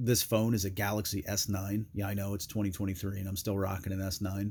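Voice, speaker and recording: This man's voice is fairly low in pitch and somewhat breathy. His intonation stays fairly even. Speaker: gear reviewer. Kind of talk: product review. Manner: casual with many fillers.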